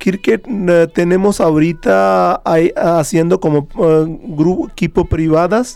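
Speaking with a Hindi accent, a man talks at a very slow pace with a high pitch, ordinary pitch variation and very even loudness. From India, Haryana. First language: Hindi (speaking Spanish). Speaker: chef. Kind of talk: interview. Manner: halting.

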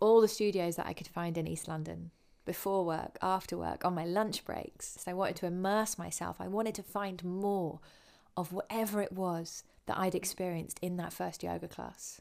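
A southern English accent at a moderate pace, monotone and flat, on a very clean recording with a silent background. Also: woman, medium pitch for a woman. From southern England (Winchester). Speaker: podcast host, yoga teacher. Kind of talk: personal storytelling monologue. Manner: calm, reflective.

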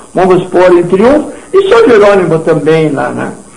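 Noticeable background noise and audible room echo around a man at a fairly slow pace. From southern Brazil, Rio Grande do Sul. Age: 80s+. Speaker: retired businessman. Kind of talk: radio interview. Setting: radio studio. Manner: animated.

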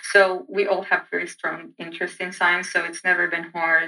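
A woman's fairly low, monotone voice with flat intonation and an Egyptian accent. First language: Arabic. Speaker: PhD student and lecturer. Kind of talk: interview testimony.

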